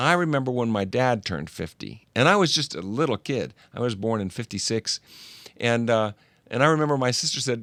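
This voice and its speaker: A man speaks with an unremarkable speaking voice at a medium pitch. His intonation is lively and his pace fairly quick. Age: 60s. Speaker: show host. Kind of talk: casual chat.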